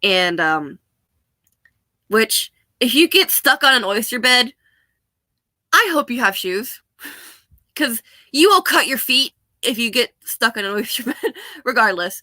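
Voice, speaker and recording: Marked by long, frequent pauses, a woman speaks at a fairly slow pace with an American accent, a bright, sharp tone, a high pitch, and very wide pitch swings, in a dry, close sound with no echo. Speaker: vlogger. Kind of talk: casual chat. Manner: casual, rambling with fillers.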